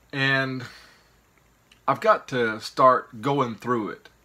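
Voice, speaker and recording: Speaking very slowly with an American accent, a man has a bright, sharp tone and fairly even intonation. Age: 50s. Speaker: YouTuber, reseller of picked goods. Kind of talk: casual vlog monologue. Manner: rambling, hesitant with fillers.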